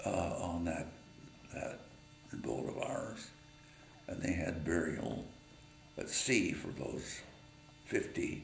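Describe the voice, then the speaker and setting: A man with an American accent talks at a very slow pace. The room echo is audible, and background noise is noticeable. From Utah, US. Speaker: war veteran. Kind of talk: personal memoir storytelling. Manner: halting, many fillers.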